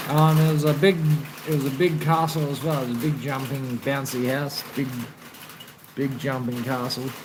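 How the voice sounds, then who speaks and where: In an Australian accent, the speaker moves at a moderate pace with long, frequent pauses against noticeable background noise. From South Australia, Adelaide. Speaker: livestreamer. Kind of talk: casual live stream chat.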